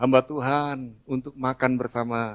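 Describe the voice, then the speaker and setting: Intonation remains fairly even while the words come out at a very slow pace. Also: man. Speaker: pastor. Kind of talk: sermon.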